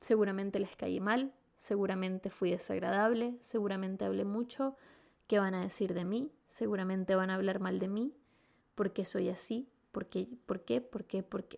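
Ordinary pitch variation at a moderate pace. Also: woman, medium pitch for a woman. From Venezuela. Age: 20s. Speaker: podcast host. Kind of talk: personal monologue. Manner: animated.

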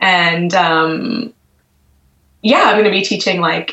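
With an American accent, a woman speaks at a very slow pace in a fairly low pitch. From US, Washington D.C. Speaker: magazine co-editor and knitwear designer. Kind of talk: casual interview.

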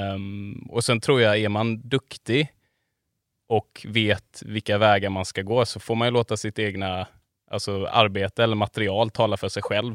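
A man speaks at a fairly low pitch and a fairly slow pace, with monotone, flat intonation. The sound is dry and close with no echo, in a very clean recording with a silent background. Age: 30s. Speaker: photographer and filmmaker. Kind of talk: casual chat. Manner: halting.

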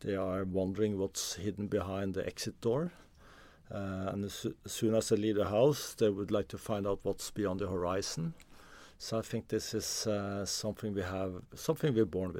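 A man's fairly low voice in a Norwegian accent, dark and mellow in tone, with ordinary pitch variation at a moderate pace over a very clean, silent background. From Norway, Oslo. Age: 50s. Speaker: explorer and author. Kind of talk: interview conversation. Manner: halting with repetitions.

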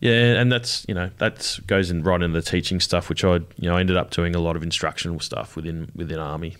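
Against a silent background in a very clean recording, a man with an Australian accent speaks at a very fast pace with hardly any pauses, his very deep, low pitch and intonation fairly even. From Adelaide, South Australia. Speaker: army veteran and art student. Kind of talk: interview. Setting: studio.

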